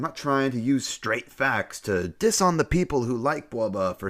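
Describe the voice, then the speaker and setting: In a very clean recording with a silent background, a man talks at a moderate pace with very wide pitch swings. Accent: General American. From San Francisco, US West Coast. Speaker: YouTube reviewer. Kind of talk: video essay narration.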